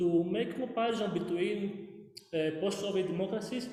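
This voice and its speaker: High-pitched male voice amid noticeable background noise and audible room echo. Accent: Greek. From Greece. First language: Greek. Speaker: academic researcher. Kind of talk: conference Q&A question. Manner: halting, many fillers.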